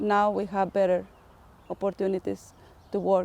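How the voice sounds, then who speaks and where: A woman speaks with a Spanish accent at a fairly slow pace. Her tone is dark and mellow. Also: dry, close sound with no echo. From Mexico. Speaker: community health worker. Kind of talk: testimony.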